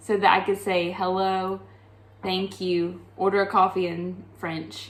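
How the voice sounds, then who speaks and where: Fairly slow, monotone, flat speech from a woman of medium pitch with a strong Southern US accent. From US South. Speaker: coffee shop owner. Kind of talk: casual chat.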